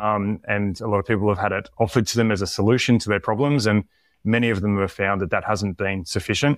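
In a very clean recording with a silent background and a dry, close sound with no echo, a man with a fairly low pitch talks at a very fast pace with fairly even intonation. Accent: Australian. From Tasmania, Australia. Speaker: performance coach. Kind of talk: interview conversation.

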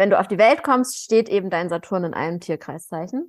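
A woman's medium-pitched, ordinary speaking voice at a moderate pace, on a very clean recording with a silent background. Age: 30s. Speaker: podcast co-host. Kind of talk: casual chat.

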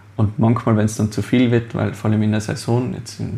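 Over noticeable background noise, a man speaks at a fairly quick pace with a fairly low pitch. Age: 20s. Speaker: master baker and business owner. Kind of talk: interview.

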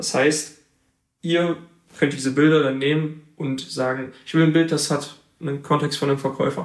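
A man talks in a fairly high pitch at a moderate pace, his intonation monotone and flat. He leaves long, frequent pauses. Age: 20s. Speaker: photographer. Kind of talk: interview.

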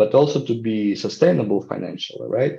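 Against a quiet background, a man with a Ukrainian accent speaks at medium pitch in a dark, mellow tone with ordinary pitch variation. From Ukraine. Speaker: social entrepreneurship professor and NGO founder. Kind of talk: interview. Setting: video call. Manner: halting, frequent repetitions.

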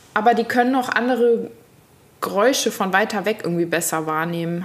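A woman speaks at medium pitch with ordinary pitch variation and a moderate pace. Noticeable background noise is present. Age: 30s. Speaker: podcast co-host. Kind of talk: casual chat.

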